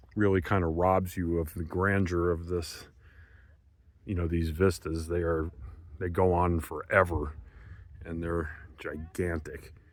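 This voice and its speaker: Speaking at a fairly slow pace with long, frequent pauses, a man with an American accent uses a very deep, low pitch and a flat monotone in a very clean recording with a silent background. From eastern United States. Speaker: travel vlogger. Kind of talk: casual travel vlog narration. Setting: outdoors. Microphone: camera built-in mic, no microphone.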